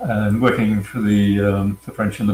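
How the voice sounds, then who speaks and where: Over noticeable background noise, a man with an American accent is talking. He speaks at a moderate pace, his pitch fairly low. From Queensland, Australia. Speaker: cybersecurity consultant. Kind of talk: interview. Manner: hesitant, many fillers.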